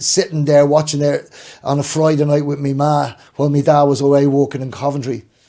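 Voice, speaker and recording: At a moderate pace, a man speaks in a Dublin accent. His tone is dark and mellow, with a fairly high pitch. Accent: Dublin Irish. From Ireland, Dublin. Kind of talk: casual chat.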